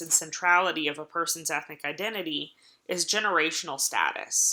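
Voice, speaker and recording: Fairly low in pitch yet bright and sharp in tone, a woman with an American accent speaks at a fairly slow pace. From Appalachia, US. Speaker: college lecturer. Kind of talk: recorded online lecture. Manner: hesitant, many filler words.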